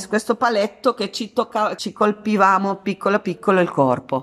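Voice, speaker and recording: The speaker has a Spanish accent. Music plays in the background. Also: woman. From Argentina, San Juan. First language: Spanish (speaking Italian). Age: 50s. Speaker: actress and art therapist. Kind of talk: radio interview.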